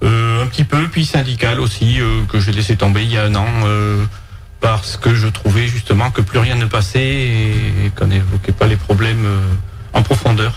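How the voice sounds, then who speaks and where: A man's fairly low voice with ordinary pitch variation and very even loudness, music in the background. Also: moderate pace. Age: 50s. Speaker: farmer and parliamentary candidate. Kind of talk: radio interview. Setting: radio studio. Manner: hesitant, many fillers. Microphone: too far from the mic.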